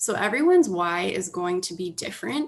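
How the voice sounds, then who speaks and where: Noticeable noise sits behind a woman talking with an American accent. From United States. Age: 20s. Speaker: personal finance educator. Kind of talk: presentation. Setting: online video call.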